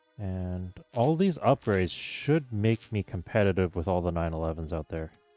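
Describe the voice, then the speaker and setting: A man with a very deep, low voice speaks at a moderate pace with ordinary pitch variation, in a dry, close sound with no echo and music in the background. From Canada. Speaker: VTuber gamer streamer. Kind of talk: gameplay commentary. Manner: casual, conversational.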